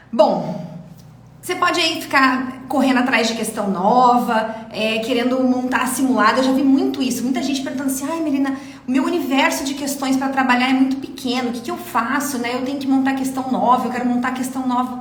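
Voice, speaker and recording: A woman speaks at a high pitch with an animated tone and ordinary pitch variation. Noticeable background noise and audible room echo surround her. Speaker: dentistry exam mentor. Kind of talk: live mentoring class. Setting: live stream. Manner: fast.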